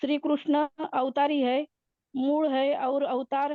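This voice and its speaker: A high-pitched woman with a Marathi accent. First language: Marathi (speaking Hindi). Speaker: devotee participant. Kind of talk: devotional study recap. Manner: halting, many fillers.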